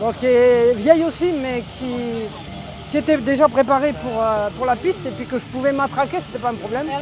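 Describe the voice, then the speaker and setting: Over noticeable background noise, a high-pitched woman speaks at a moderate pace with ordinary pitch variation. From southwest France, Lot-et-Garonne. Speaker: amateur motorcycle hill-climb racer. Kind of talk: interview.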